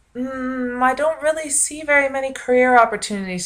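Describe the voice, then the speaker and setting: A woman with lively intonation. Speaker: vlogger, university student. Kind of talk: casual vlog monologue. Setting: home video recording, bedroom. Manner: loud, projecting; frequent fillers (um, uh).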